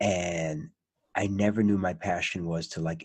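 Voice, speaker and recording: A man speaks in a very deep, low pitch that is somewhat breathy. The recording is very clean, with a silent background. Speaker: podcast host. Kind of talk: casual interview chat. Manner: animated.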